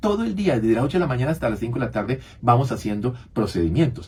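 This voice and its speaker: A somewhat breathy man's voice with lively intonation. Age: 70s. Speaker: physician, radio health show co-host. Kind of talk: radio talk show conversation.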